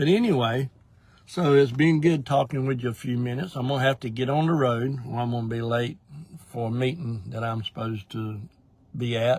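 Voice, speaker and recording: A man speaks at a medium pitch and a fairly quick pace. His voice is somewhat breathy. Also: ordinary pitch variation. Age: 60s. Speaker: ministry director. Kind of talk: casual update talk to viewers. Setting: in a parked car, live video. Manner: casual, with fillers and hesitations.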